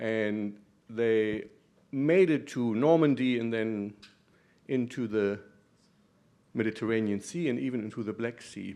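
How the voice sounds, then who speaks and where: Speaking with a slight German accent, a man with a dark, mellow tone and medium pitch moves at a fairly slow pace with ordinary pitch variation and long, frequent pauses against a quiet background. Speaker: professor, muscular dystrophy doctor. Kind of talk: conference talk. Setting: conference room with audience.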